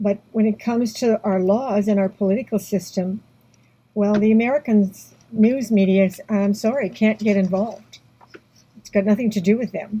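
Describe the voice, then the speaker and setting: A woman speaks with a Canadian accent in a dark, mellow tone. Her delivery is somewhat breathy and monotone, with flat intonation. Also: fairly high pitch for a woman, moderate pace. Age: 70s. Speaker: activist. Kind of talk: personal testimony vlog. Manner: halting. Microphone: poor audio.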